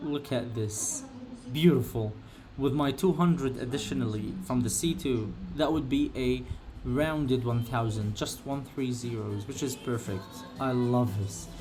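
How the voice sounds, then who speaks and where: Amid audible room echo, a man with a non-native accent talks with ordinary pitch variation. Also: medium pitch for a man, fairly slow pace. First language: not English. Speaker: gaming streamer. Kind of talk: live gameplay commentary. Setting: live stream. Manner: halting, many fillers.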